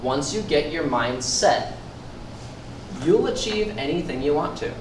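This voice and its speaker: Over noticeable background noise and audible room echo, a man speaks with lively intonation in a fairly high voice. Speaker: personal trainer giving a workshop. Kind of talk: motivational workshop talk. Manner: fast.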